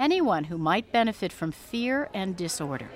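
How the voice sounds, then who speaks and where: On a very clean recording with a silent background, a woman speaks in a plain, everyday voice at medium pitch and a moderate pace. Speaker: writer. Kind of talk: radio narration.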